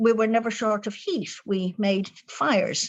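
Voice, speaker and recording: A woman with an Irish accent speaks fairly slowly in a fairly high pitch against a quiet background. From Ireland. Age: 70s. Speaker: spiritual author. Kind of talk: interview. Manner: cheerful.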